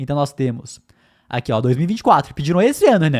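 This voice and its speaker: A man talking at a very fast pace. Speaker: podcast co-host. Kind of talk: casual chat.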